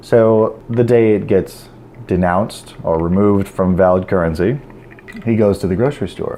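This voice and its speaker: Through noticeable background noise, a man with an American accent talks at a moderate pace in a fairly low voice with ordinary pitch variation. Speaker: self-help vlogger. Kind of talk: casual monologue. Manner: stuttering, repeats words.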